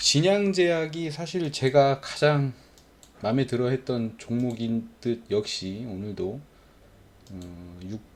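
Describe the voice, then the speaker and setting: A man speaks at a very slow pace, his medium pitch swinging very widely. His loudness shifts a lot, broken by long, frequent pauses. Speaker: stock trading youtuber. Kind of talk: stock chart commentary. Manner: hesitant, many fillers.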